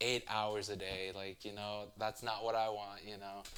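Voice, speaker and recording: The voice carries a Spanish accent. Its intonation is monotone and flat. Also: man. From US. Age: 20s. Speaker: interviewee. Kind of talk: casual interview. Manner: halting.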